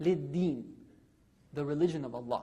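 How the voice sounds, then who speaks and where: A dark, mellow tone with lively intonation moves at a moderate pace amid audible room echo. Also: man. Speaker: religious lecturer. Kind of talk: sermon.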